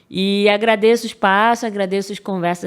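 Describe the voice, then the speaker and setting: The speech has a Rio de Janeiro accent and moves at a moderate pace with fairly even intonation. The recording is very clean, with a silent background. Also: woman. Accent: carioca. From Rio de Janeiro, Brazil. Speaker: data professional, podcast guest. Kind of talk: casual interview chat.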